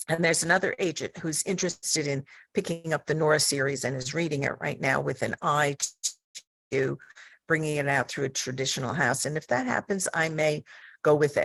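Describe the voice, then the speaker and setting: With an American accent, the speaker keeps a fairly quick pace and fairly even intonation. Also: woman, very deep, low pitch for a woman. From US Northeast (Long Island, New York). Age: 70s. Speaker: mystery author, panelist. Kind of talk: panel discussion.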